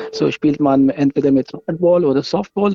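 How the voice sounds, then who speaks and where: A man talks at a moderate pace in a fairly high voice. His pitch varies in an ordinary way. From Pakistan. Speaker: amateur cricket player and organiser. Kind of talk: interview explanation. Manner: halting, non-native phrasing.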